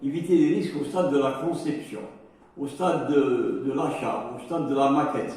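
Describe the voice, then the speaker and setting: Amid noticeable background noise and audible room echo, a man talks at a moderate pace with a fairly high pitch and ordinary pitch variation. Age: 70s. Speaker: safety trainer. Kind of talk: lecture. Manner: halting, many hesitations.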